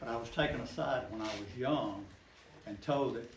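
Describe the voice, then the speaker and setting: Speaking at a moderate pace with an American accent, a man talks at a medium pitch with ordinary pitch variation, and room echo is audible. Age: 70s. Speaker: local storyteller. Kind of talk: oral history talk to a group.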